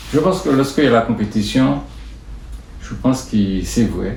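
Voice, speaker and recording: A man's fairly slow speech carries audible room echo. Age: 70s. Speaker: sports club vice-president. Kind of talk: interview. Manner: halting.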